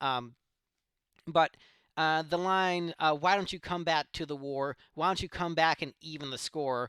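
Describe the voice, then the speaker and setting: A man with a fairly high pitch and a bright, sharp tone speaks at a fairly slow pace in a slight Southern US accent. The recording is very clean, with a silent background and a dry, close sound with no echo. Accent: slight southern twang picked up. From Ohio, Cleveland. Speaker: music reaction youtuber. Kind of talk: casual reaction commentary. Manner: hesitant, many fillers.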